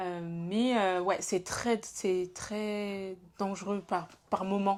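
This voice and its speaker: Against a very clean recording with a silent background, a woman speaks at a very slow pace in a medium pitch with monotone, flat intonation. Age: 20s. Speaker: podcast host. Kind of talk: casual chat.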